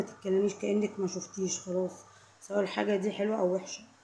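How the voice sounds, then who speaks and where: A woman talks in a monotone, flat intonation as noticeable background noise carries on around her. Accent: Egyptian. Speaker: vlogger. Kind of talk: casual talk to camera. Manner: repetitive, emphatic; suddenly louder at times.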